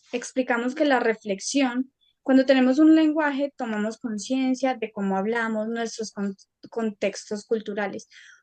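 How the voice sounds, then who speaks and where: A woman's fairly high voice with a slight paisa accent, fairly slow and with ordinary pitch variation, in a dry, close sound with no echo. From Colombia, Antioquia (paisa). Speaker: university student. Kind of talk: academic presentation.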